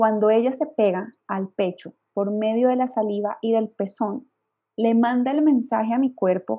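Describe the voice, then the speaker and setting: At a fairly slow pace, a woman with a Colombian accent speaks in a fairly high pitch with ordinary pitch variation. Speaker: lactation consultant. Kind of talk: interview.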